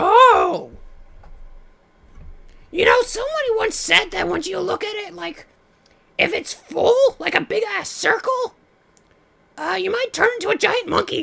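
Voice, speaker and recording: At a moderate pace, a raspy, put-on character voice with an extremely high pitch speaks with long, frequent pauses. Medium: actual play. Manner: excitable, scatterbrained.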